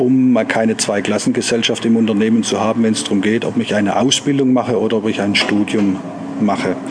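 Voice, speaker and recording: A man talks at a fairly quick pace in a medium pitch, with fairly even intonation. Noticeable background noise runs under the recording. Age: 40s. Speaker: company managing director. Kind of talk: interview.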